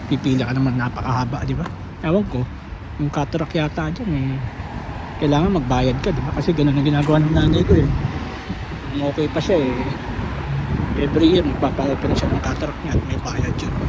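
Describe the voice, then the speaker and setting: With a fairly high pitch and ordinary pitch variation, a man talks at a very fast pace, leaving long, frequent pauses, amid noticeable background noise and audible room echo. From Philippines. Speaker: vlogger. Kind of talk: casual vlog monologue. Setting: outdoors, walking on street. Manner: halting, many fillers.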